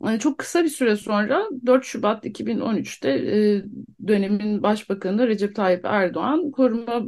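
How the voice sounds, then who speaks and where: A woman's plain, everyday voice, fairly high with lively intonation, at a moderate pace against a quiet background. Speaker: guest, wife of detained defendant. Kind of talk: radio interview.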